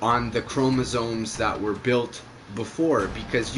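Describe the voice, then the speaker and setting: Noticeable background noise is present. Through it, a man talks. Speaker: gaming livestreamer. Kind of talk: casual chat during game livestream. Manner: animated, repetitive stammering.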